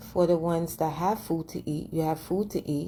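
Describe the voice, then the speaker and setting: A woman's very deep, low, somewhat breathy voice at a fairly quick pace. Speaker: vlogger. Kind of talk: casual monologue.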